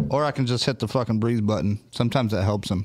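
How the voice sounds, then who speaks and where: Noticeable background noise runs through the clip. A man speaks with a medium pitch. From US. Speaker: livestream host. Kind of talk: casual chat. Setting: studio. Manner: animated.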